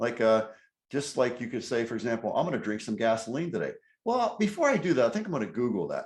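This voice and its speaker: A man speaks at a fairly quick pace in an animated tone. His pitch swings very widely. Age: 60s. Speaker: car dealer and personal development mentor. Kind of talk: podcast interview.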